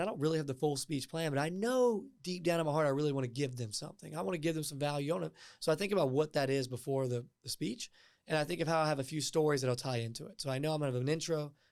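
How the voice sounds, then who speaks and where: A man's fairly high-pitched, energetic voice at a very fast pace, with ordinary pitch variation, on a very clean recording with a silent background. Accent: Southern. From US South, Martinsville, Virginia. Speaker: tech startup co-founder and public speaker. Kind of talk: podcast interview.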